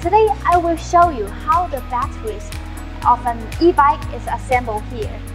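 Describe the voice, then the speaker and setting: A woman talks at a moderate speed over clear background music. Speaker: presenter. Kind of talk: promotional factory tour presentation. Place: factory.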